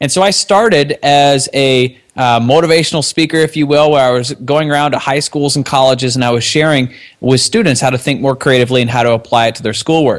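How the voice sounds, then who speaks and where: A man's fairly high voice at a fairly quick pace, with ordinary pitch variation and a normal speaking voice. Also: very even loudness. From Canada. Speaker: software company co-founder. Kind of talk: casual interview.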